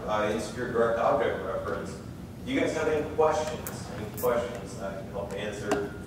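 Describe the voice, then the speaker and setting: A man talks at a moderate pace amid loud background noise and audible room echo. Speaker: conference presenter. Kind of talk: lecture. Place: hall.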